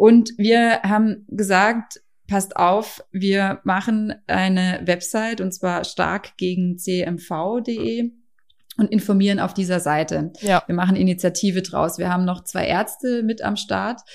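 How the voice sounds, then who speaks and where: A woman's medium-pitched voice at a very slow pace, with fairly even intonation, in a very clean recording with a silent background. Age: 40s. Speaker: mother and CMV awareness campaigner. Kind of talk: interview.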